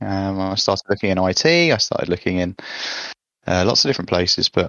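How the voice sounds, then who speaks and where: With an English accent, a man speaks fairly quickly at a fairly low pitch. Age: 20s. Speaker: engineer, former apprentice. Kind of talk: casual chat.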